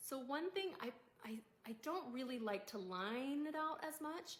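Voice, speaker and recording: A woman with an ordinary speaking voice, lively intonation and a moderate pace. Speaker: makeup tutorial creator. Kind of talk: tutorial.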